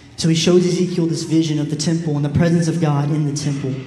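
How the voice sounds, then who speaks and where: Amid noticeable background noise and audible room echo, a man talks at a fairly quick pace in a fairly high, monotone, flat voice. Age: 20s. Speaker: preacher. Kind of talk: sermon.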